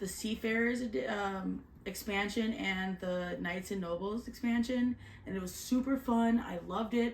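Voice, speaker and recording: Over noticeable background noise, a woman with a medium pitch talks at a moderate pace with ordinary pitch variation. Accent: Canadian. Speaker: board game reviewer. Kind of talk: casual chat.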